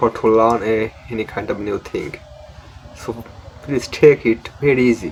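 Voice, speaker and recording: A man with a Bengali accent talks at medium pitch and a moderate pace, with ordinary pitch variation, over noticeable background noise. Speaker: English learning YouTuber. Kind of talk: tutorial. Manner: halting.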